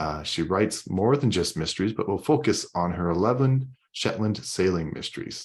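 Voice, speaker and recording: Against a quiet background, a man talks with an ordinary speaking voice at a moderate pace. His pitch is fairly low and his intonation lively. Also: hardly any pauses. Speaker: interviewer. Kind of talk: casual interview host talk.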